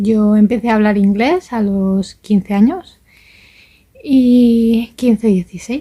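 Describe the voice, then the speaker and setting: A woman speaks in a Spanish accent, fairly high in pitch with ordinary pitch variation. Her tone is dark and mellow and somewhat breathy. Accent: Spanish (Spain). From Valencia region, Spain. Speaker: vlogger, language learner. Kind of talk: casual vlog monologue. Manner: hesitant, with fillers.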